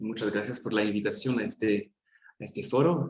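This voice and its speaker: A man speaks with a French accent and lively intonation. His voice is somewhat breathy. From France. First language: French (speaking Spanish). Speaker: gerontology researcher, speaker. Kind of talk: academic presentation. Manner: halting, with fillers.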